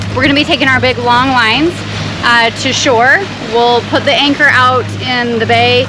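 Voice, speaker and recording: A woman with a high-pitched voice speaks at a moderate pace and with fairly even intonation while music plays in the background. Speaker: sailing vlogger. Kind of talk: casual vlog chat explaining a procedure. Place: boat. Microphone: phone near.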